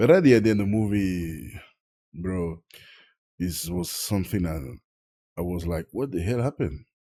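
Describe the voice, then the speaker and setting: With a French accent, a man talks at a moderate pace in a very deep, low, dark and mellow voice, using ordinary pitch variation and long, frequent pauses, on a very clean recording with a silent background. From Tahiti, French Polynesia. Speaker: film reviewer. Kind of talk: casual video review. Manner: halting, searching for English words.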